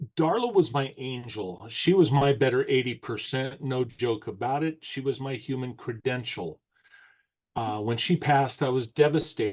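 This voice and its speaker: Over a quiet background, a man with a normal speaking voice talks at a moderate pace in a medium pitch with ordinary pitch variation. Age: 60s. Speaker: course creator, self-help coach. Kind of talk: podcast interview.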